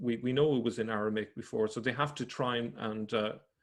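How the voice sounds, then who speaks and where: This man's pitch varies in an ordinary way, heard on a very clean recording with a silent background. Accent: Irish. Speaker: religion researcher presenting findings. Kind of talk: presentation lecture. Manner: halting, with self-corrections.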